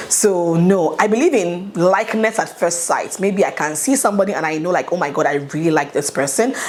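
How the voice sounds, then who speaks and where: There is noticeable background noise as a woman speaks in an upbeat tone with a fairly low pitch. Her pace is moderate and her pitch variation ordinary. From Nigeria. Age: 30s. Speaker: YouTuber. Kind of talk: casual talk to camera. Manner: chatty, upbeat.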